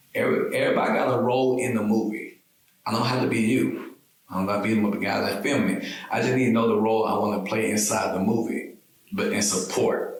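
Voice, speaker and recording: Audible room echo follows a man's voice. He talks at a very fast pace with very even loudness. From US South, rural south Georgia. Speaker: entrepreneur and military veteran. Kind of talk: podcast interview. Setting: studio, filmed.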